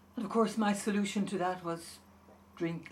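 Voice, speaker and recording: A woman's somewhat breathy voice with an Irish accent, plus audible room echo. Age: 70s. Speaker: patient. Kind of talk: testimony.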